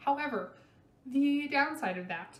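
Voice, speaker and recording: With audible room echo and noticeable background noise, a woman talks fairly slowly. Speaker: beauty vlogger. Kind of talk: product review vlog. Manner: casual, many fillers.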